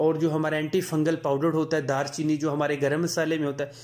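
A man's fairly high-pitched, unremarkable speaking voice at a moderate tempo. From Punjab. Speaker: gardening YouTuber. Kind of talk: tutorial.

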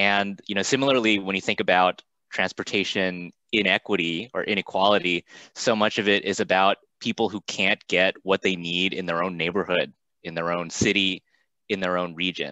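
A man speaks at a very deep, low pitch in a bright, sharp tone. His intonation is fairly even, and the background is quiet. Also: moderate pace, dry sound with no echo. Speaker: remote guest. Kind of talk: interview answer.

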